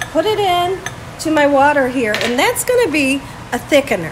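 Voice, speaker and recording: A woman speaks at a moderate pace with very wide pitch swings. Noticeable background noise sits behind her. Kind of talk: tutorial. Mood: warm, upbeat. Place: kitchen. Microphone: phone near.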